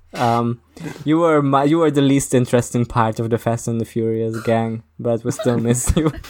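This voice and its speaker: Against noticeable background noise, a man at a medium pitch talks at a moderate pace with fairly even intonation. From Britain. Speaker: podcast co-host. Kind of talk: casual chat.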